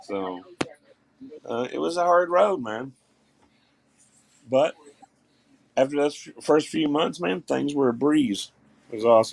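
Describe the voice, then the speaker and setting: With a Southern accent, a man talks at a fairly slow pace with long, frequent pauses, his fairly high voice making very wide pitch swings and big swings in loudness. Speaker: live stream co-host. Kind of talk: casual chat.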